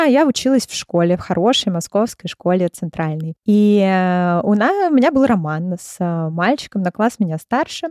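A woman speaks at a moderate pace with lively intonation, in an ordinary speaking voice. The sound is dry and close, with no echo. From Russia, Moscow. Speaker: clinical psychologist. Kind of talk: interview.

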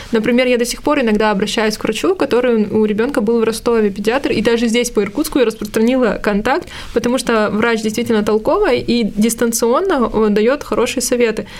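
Noticeable background noise sits behind a woman speaking at a fairly quick pace. Her pitch is fairly high with ordinary variation, and her loudness is very even. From Russia, Irkutsk. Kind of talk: casual interview chat.

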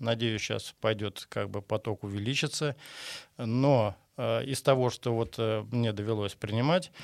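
Recorded very cleanly against a silent background, with a dry, close sound and no echo, a man speaks at a fairly slow pace with ordinary pitch variation. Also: medium pitch for a man. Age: 60s. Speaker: construction qualification examiner. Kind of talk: interview. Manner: halting.

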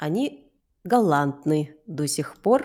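Lively intonation marks this woman's speech. Her pace is very slow. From Moscow, Russia. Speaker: actress and voice/speech teacher. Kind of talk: casual chat, podcast interview.

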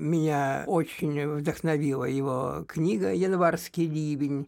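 The recording is very clean with a silent background. A man with a fairly high pitch speaks at a very slow pace. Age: old. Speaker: poet. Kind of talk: interview. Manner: hesitant, with many fillers.

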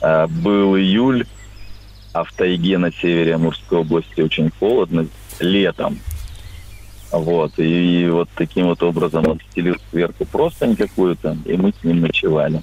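A man's very deep, low voice with lively intonation, a fairly slow pace and long, frequent pauses. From Amur region, Russian Far East. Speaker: caller. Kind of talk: phone-in anecdote. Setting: phone call.

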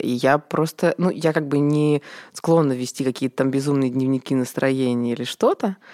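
A woman talks at a moderate pace in a very clean recording with a silent background. The sound is dry and close, with no echo. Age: 30s. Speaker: event producer. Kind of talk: casual chat.

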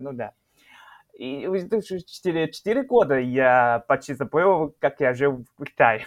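At a very slow pace, a man with a fairly high pitch speaks with lively intonation and big swings in loudness. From northeast China, Shenyang. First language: Chinese (speaking Russian). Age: 20s. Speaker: chemistry PhD student, Chinese teacher. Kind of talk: interview. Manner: halting.

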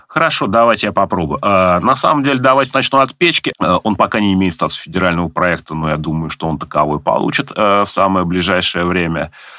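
Very deep and low, a man's voice moves with lively intonation. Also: fairly quick pace, hardly any pauses. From Nizhny Novgorod, Russia. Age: 40s. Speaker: government IT adviser. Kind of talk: interview. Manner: hesitant with filler sounds.

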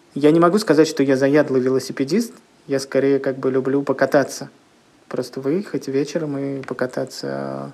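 A man's fairly high voice at a moderate pace, with fairly even intonation and noticeable background noise. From Russia, Leningrad Oblast (Kirishi). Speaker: comics publisher. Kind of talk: interview.

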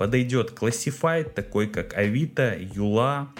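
Here a man talks at a fairly slow pace, sounding somewhat breathy. His pitch swings very widely. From Russia, Kirov. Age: 30s. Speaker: podcast host, small business owner. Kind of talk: solo podcast monologue.

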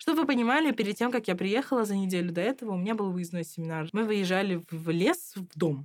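Lively in intonation and animated in tone, a woman talks fairly quickly at a medium pitch on a very clean recording with a silent background. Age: 20s. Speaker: master's student. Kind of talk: casual chat.

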